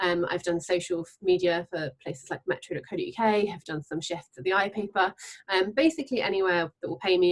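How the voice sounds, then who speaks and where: At a fairly quick pace, a woman speaks with a southern English accent. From England, Devon. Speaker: freelance journalist. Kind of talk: panel discussion.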